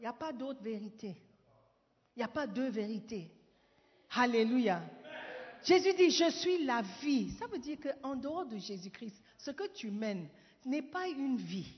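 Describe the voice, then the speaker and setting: The speech moves at a fairly slow pace, with very wide pitch swings and long, frequent pauses. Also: woman, high pitch for a woman. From Ghana. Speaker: pastor. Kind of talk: sermon. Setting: church. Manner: animated.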